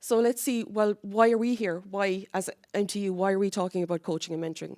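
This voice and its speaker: A woman with a Cork accent speaks at a fairly quick pace and medium pitch, the sound dry and close with no echo in a very clean recording with a silent background. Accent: Cork Irish. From Ireland, Cork. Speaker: university academic project lead. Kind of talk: conference presentation. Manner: conversational, with fillers and restarts.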